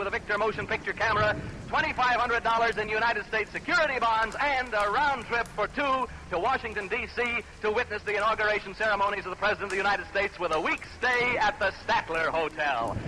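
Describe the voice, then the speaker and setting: A man speaks very fast in a raised, projected voice with a high pitch and hardly any pauses. His pitch variation is ordinary, his loudness very even, and there is noticeable background noise. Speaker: radio game show host. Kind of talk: live radio game show hosting. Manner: upbeat, fast.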